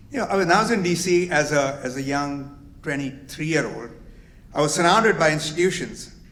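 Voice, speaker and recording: A man speaks at a moderate pace with lively intonation, and the room echo is audible. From immigrant to the US at 22. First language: not English. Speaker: company executive, lawyer. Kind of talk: welcome speech.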